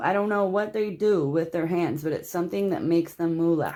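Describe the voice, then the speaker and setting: A woman talks with an American accent. Her tone is dark and mellow. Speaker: tarot reader. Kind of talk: tarot card reading. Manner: casual, filler-heavy.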